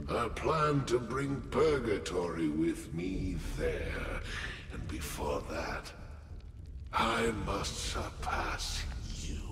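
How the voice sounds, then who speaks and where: A man speaks very slowly in a put-on character voice. Clear echo and loud background noise fill the recording. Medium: game stream. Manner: solemn, grave.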